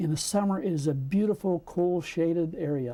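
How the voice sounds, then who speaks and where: A man with a high pitch and a dark, mellow tone. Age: 70s. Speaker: photographer. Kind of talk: interview. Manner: conversational.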